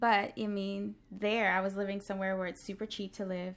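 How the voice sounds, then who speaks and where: Soft-spoken and medium in pitch, a woman talks in a monotone, flat intonation. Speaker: dancer and Broadway performer. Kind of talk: casual interview.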